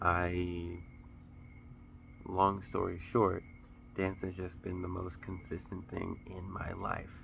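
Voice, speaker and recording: Over audible room echo, a man with a very deep, low pitch speaks very slowly in a monotone, flat delivery broken by long, frequent pauses. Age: 30s. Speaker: vlogger, dancer and Marine Corps veteran. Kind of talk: casual vlog talk to camera. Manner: halting, repeats words.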